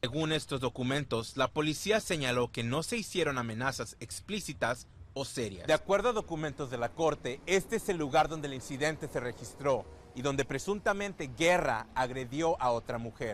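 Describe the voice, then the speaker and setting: Music plays in the background as a man with a fairly high pitch and an American accent talks at a very fast pace. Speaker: news reporter. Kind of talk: Spanish-language TV news report.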